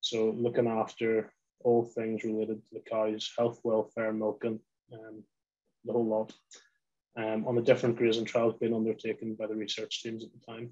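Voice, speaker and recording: Speaking at a moderate pace with a Northern Irish accent, a man with a medium-pitched voice and a dark, mellow tone keeps a flat, monotone delivery while his loudness swings widely. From Northern Ireland, Lisburn. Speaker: poultry industry company representative. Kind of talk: webinar presentation.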